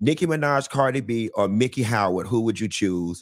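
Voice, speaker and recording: A man talks with ordinary pitch variation and a moderate pace, the background quiet. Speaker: interview host. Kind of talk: interview host introduction. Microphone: studio mic.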